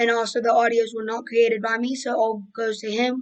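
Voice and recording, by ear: A woman talks at a moderate pace in a fairly high pitch with little pitch movement.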